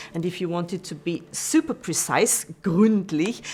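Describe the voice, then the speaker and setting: A woman speaks in an Austrian accent at a fairly low pitch. Her pace is moderate and her intonation fairly even. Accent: German-speaking (Austrian) accent in English. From Austria, Vienna. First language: German. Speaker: university language tutor. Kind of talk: lecture. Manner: hesitant, many fillers.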